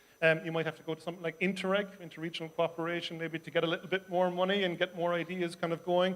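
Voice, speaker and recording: A high-pitched male voice in an Irish accent, very fast and flat in intonation. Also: hardly any pauses. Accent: soft Irish. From Ireland, Cork. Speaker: city councillor. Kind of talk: panel discussion. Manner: hesitant, many fillers.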